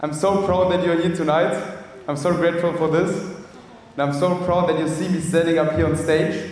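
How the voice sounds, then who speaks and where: A man with a German accent speaks in a high voice and keeps his intonation fairly even. There is noticeable background noise, and the room echo is audible. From Germany. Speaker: speaker at networking event. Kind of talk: motivational talk. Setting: stage with audience.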